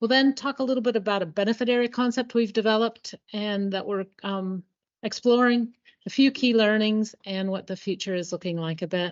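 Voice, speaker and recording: In an American accent, a woman talks at a fairly quick pace with a fairly high pitch. She has a plain, everyday voice and fairly even intonation. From Colorado, US. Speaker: environmental agency biodiversity manager. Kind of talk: conference presentation.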